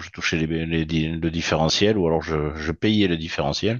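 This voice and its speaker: With a very deep, low pitch, this man talks fairly slowly, his intonation fairly even. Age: 60s. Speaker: retired trader and trainer. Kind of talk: webinar presentation.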